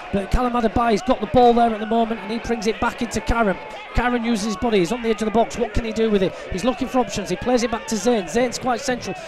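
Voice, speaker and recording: A man speaks at an extremely high pitch in an animated tone with hardly any pauses. The sound is dry with no echo, his pitch variation is ordinary, and background noise is noticeable. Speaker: football match commentator. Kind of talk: live football commentary. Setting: media booth at stadium. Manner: animated, fast play-by-play; builds excitement at shootout. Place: stadium.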